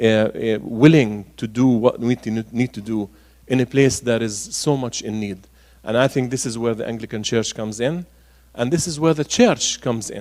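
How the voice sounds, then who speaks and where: A man speaks with an Arabic accent at a medium pitch. His pace is moderate, and his pitch varies in an ordinary way. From Galilee, northern Israel (Nazareth area). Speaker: archbishop. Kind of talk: public talk Q&A. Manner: hesitant, many fillers.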